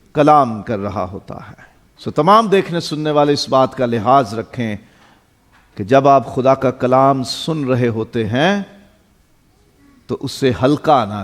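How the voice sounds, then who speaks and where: A plain, everyday voice with big swings in loudness. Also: man, medium pitch for a man, lively intonation. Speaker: pastor. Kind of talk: sermon.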